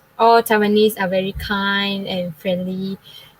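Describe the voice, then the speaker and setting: A woman talks at a fairly slow pace in a medium pitch with monotone, flat intonation. Noticeable background noise sits behind her. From Malaysia, Klang, Selangor. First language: Chinese. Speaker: university student. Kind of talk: forum panel talk. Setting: online live forum.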